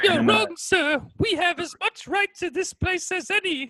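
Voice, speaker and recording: An extremely high-pitched, put-on character voice moves at a moderate pace. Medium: actual play. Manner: grandiloquent, dramatic speechifying.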